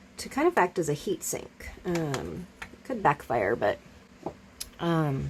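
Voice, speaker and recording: Soft-spoken, a woman talks at a very slow pace with big swings in loudness over noticeable background noise. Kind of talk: tutorial. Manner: halting.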